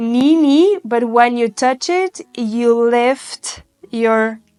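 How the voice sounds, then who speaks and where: Very slowly, a woman with a non-native accent speaks at a high pitch with ordinary pitch variation, in a dry, close sound with no echo. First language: not English. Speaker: Pilates instructor. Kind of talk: guided workout instruction. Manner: encouraging, instructive.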